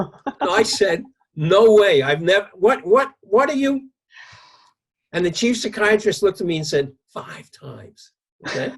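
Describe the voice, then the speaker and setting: A man with a New York accent talks at a fairly slow pace with a high pitch and lively intonation. His loudness swings widely, and he leaves long, frequent pauses. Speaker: psychologist. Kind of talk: interview, telling an anecdote.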